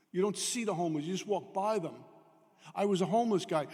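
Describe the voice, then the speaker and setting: Pitched high for a man, this New York accent voice belongs to a man with ordinary pitch variation. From New York, Brooklyn. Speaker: AA speaker. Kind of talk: recovery talk. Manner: fast.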